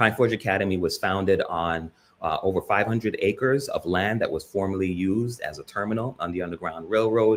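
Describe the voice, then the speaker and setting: A man with a plain, everyday voice speaks at a fairly quick pace, his fairly low pitch showing ordinary variation, on a very clean recording with a silent background. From US, born in Jamaica, emigrated as a young child. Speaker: panelist. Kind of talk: panel discussion.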